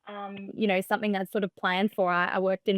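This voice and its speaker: In an Australian accent, the speaker uses a monotone, flat intonation on a very clean recording with a silent background and a dry, close sound with no echo. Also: woman. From Australia, Melbourne. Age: 20s. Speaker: startup founder. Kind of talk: podcast interview. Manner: soft-spoken.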